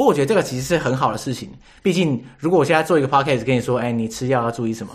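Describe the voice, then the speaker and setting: A man speaks at a very fast pace with a medium pitch and ordinary pitch variation. His voice is somewhat breathy. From Taiwan. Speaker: podcast host. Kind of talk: casual interview chat.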